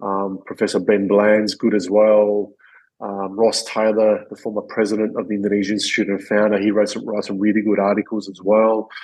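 Monotone, flat intonation runs through this man's voice, which has an Australian accent. His pitch is fairly low, and the background is quiet. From Perth, Western Australia. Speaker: retired professional footballer. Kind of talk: interview conversation. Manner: halting, many fillers.

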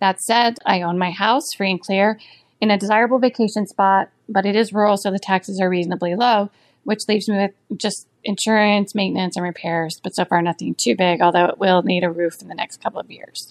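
An unremarkable speaking voice moves at a fairly quick pace with fairly even intonation, the sound dry and close with no echo. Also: woman, medium pitch for a woman. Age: 50s. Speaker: author and audiobook narrator. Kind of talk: recorded listener question.

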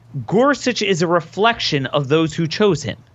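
The voice carries lively intonation at a moderate pace. Music plays in the background. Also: man. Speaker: political commentator. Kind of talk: casual chat. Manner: animated.

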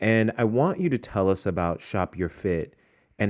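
This man has a plain, everyday voice and talks at a fairly slow pace with ordinary pitch variation. The recording is very clean, with a silent background. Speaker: podcast host, fashion professor. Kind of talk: interview.

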